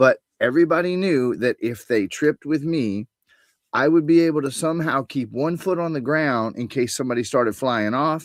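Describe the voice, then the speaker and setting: At a moderate pace, a man speaks in a plain, everyday voice, his fairly high pitch showing ordinary variation. The very clean recording is dry and close with no echo, over a silent background. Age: 60s. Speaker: spiritual coach. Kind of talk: interview.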